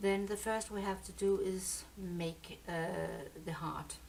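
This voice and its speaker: Audible room echo and noticeable background noise surround the voice. A woman with a Danish accent speaks at a very slow pace. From Denmark. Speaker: software tutorial maker. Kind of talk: tutorial. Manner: halting.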